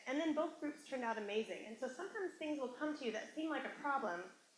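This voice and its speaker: Her bright, sharp tone carries lively intonation as the woman speaks. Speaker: motivational speaker. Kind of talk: workshop talk. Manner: fast; animated.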